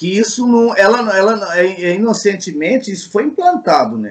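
A man is speaking. He talks at a fairly slow pace. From Minas Gerais, Brazil (Uberaba). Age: 50s. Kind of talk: interview. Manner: halting, with many repetitions.

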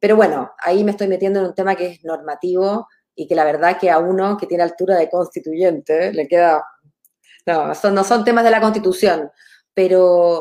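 The voice has a dark, mellow tone with a Chilean accent. It holds a moderate pace and fairly even intonation. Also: woman, medium pitch for a woman. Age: 40s. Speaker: lawyer and political candidate. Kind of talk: interview.

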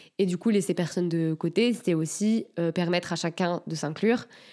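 Fairly low-pitched female voice at a moderate pace, with fairly even intonation, on a very clean recording against a silent background. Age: 20s. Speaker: environmental activist. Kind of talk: casual interview. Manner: hesitant, many filler sounds.

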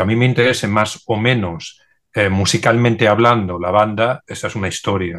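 A man's unremarkable speaking voice at a moderate pace, with fairly even intonation and a quiet background. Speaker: DJ and record collector. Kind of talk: panel discussion.

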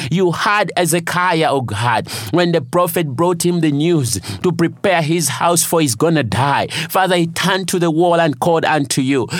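At a moderate pace, a man with a high voice sounds passionate, keeping very even loudness and ordinary pitch variation amid noticeable background noise. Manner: earnest, declaring, rhythmic repetition; passionate, rising intensity.

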